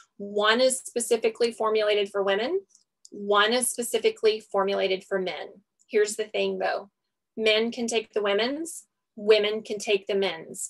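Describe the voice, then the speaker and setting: A woman speaks in an ordinary speaking voice, fairly high in pitch and at a moderate pace. Her intonation stays fairly even, and the background is quiet. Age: 30s. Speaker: registered nurse and network marketer. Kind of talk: sales pitch. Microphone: video call.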